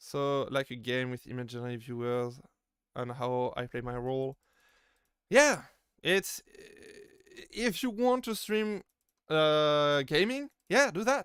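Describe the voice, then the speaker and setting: With a strong French accent, a man speaks very slowly at a fairly high pitch, using very wide pitch swings and long, frequent pauses, in a dry, close sound with no echo. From France. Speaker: VTuber streamer. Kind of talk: live stream Q&A. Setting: live stream. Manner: halting, many fillers and repeated words.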